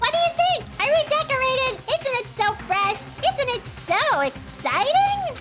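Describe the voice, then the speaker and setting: Someone does a put-on character voice in a bubbly tone at a moderate pace. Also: woman, extremely high pitch for a woman. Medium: game stream. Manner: bubbly, mock-friendly.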